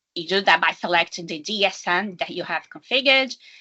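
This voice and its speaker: A woman at a moderate pace with a non-native accent. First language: not English. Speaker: data analytics consultant. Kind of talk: technical presentation. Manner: halting, with fillers.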